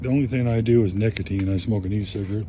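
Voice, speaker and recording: At a fairly quick pace, a man with a fairly low pitch and fairly even intonation speaks amid noticeable background noise and audible room echo. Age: 60s. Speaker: vlogger. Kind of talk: casual monologue. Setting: outdoors by a fire. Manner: reflective, conversational.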